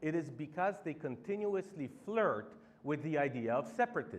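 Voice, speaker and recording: Vocal fry is present in this voice. Its pitch swings very wide. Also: man. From Poland. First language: Polish. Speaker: campaign organizer. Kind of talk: public speech.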